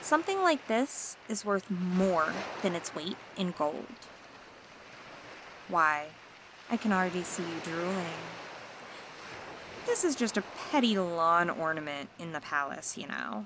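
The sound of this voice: A woman puts on a character voice at a fairly low pitch, with big pitch swings, a fairly slow pace, and long, frequent pauses. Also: fairly bright tone.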